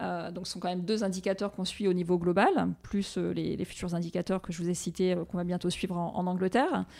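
In a very clean recording with a silent background, a woman with an unremarkable speaking voice talks fairly quickly at a medium pitch, her intonation fairly even. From Réunion. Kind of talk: interview.

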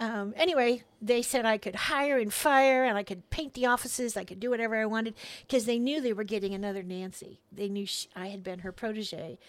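On a very clean recording with a silent background, a woman with an American accent uses an ordinary speaking voice with a medium pitch, ordinary pitch variation, and a fairly quick pace. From California. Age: 60s. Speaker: pastor's wife, former orchestra staff. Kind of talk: casual interview chat. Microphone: close to the mic.

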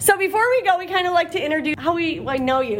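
A woman's lively intonation comes through noticeable background noise. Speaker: school administrator and podcast co-host. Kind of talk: casual interview chat. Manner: laughs often.

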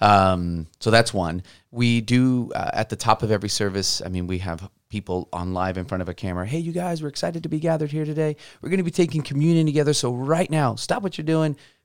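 A man speaks at a very fast pace with very wide pitch swings around a medium pitch. The recording is very clean, with a silent background. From Mexico. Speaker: pastor. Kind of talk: casual discussion.

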